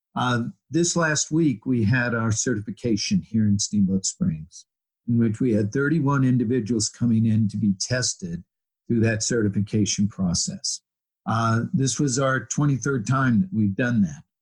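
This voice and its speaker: At a moderate pace, a man speaks in a somewhat breathy voice with lively intonation and very even loudness, the sound dry and close with no echo. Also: medium pitch for a man. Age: 70s. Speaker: physical therapist. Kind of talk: interview conversation.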